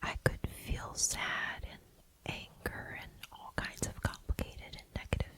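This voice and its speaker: A whisper at a fairly slow pace, gentle in tone, with noticeable background noise. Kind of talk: ASMR affirmations, casual talk to camera. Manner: soft-spoken, gentle, personal.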